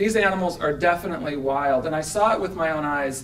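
There is light background noise as a man speaks. He keeps a moderate pace with ordinary pitch variation. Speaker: speaker. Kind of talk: conference talk. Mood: earnest, persuasive advocacy. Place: hall. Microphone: podium.

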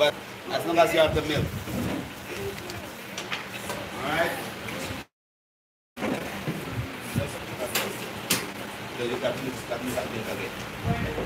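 Over loud background noise, a man talks with ordinary pitch variation and long, frequent pauses. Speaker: cooking class instructor. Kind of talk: instruction to a group. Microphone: phone near.

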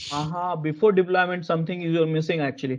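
A man is speaking. His pace is very fast. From India. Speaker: corporate software trainer. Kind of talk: live online training lecture. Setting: video call. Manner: halting, many fillers and repetitions. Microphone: video call.

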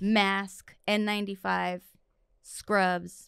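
A woman with an American accent, in a dry sound with no echo and a quiet background. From East Los Angeles, California; California. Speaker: physician assistant; podcast guest. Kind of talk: casual chat. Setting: studio. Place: studio. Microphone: studio mic.

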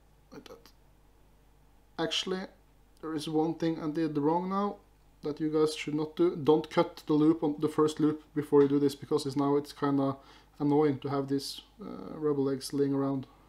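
With a Norwegian accent, a man speaks at a fairly high pitch and a moderate pace, with fairly even intonation. His loudness swings widely, and he takes long, frequent pauses. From Norway. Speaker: fly-tying youtuber. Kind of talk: tutorial. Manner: halting. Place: home room.

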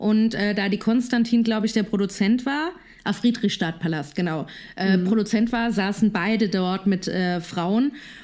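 This woman has a plain, everyday voice, pitched in the middle range with ordinary pitch variation, on a very clean recording with a silent background. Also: moderate pace. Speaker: podcast co-host. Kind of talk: casual chat. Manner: giggly, playful.

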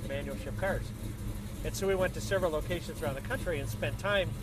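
A man's dry voice with no echo comes through loud background noise. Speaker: interviewee. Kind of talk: casual interview chat. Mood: relaxed, cheerful. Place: car. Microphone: camera far.

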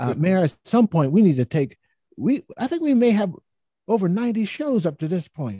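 The man's tone is dark and mellow, somewhat breathy. The sound is dry with no echo, over a quiet background. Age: old. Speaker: public health professor, co-host. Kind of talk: panel talk show. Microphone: studio mic.

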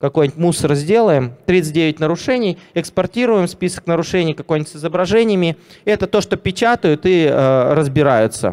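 The pace of this man's talking is fairly quick. His pitch shifts in an ordinary way. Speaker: software company CEO. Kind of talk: live product demo. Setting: stage with audience. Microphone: handheld.

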